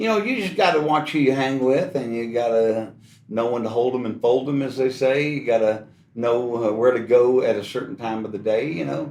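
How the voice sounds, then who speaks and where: A man with a Texan accent at a fairly quick pace, medium pitch and ordinary pitch variation, plus audible room echo and noticeable background noise. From Texas, Houston. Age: 60s. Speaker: guitarist. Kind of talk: casual interview.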